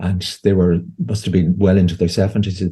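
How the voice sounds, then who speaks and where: A man with an Irish accent speaks fairly quickly in a very deep, low voice that is somewhat breathy, dark and mellow in tone, and flat, monotone in intonation. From Ireland. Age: 60s. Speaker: homeopath and therapist. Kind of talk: interview conversation. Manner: halting, with frequent repetitions.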